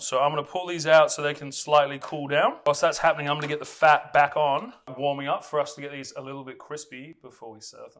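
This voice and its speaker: A man talks with an Australian accent. His fairly high pitch holds fairly even intonation. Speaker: chef. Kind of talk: cooking tutorial. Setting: home kitchen. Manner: casual, chatty with fillers.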